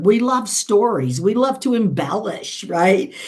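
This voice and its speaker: A woman's voice with lively intonation over noticeable background noise. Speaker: interview host. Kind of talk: interview question.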